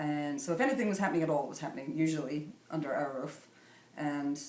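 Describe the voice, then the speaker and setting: With a Scottish Highland accent, a woman talks at a very fast pace in a very deep, low voice with ordinary pitch variation, over noticeable background noise and audible room echo. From northern Scotland, Sutherland. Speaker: artist. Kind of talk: interview. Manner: halting.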